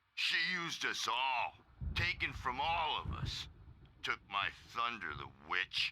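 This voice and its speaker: A put-on character voice at a fairly slow pace. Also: man. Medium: video game. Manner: gruff, blunt.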